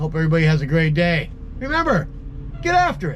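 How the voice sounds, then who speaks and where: In a room with audible echo and noticeable background noise, a man speaks at a fairly quick pace with ordinary pitch variation. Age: 60s. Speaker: pressure washing business owner. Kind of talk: tutorial. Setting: outdoors. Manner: casual, conversational.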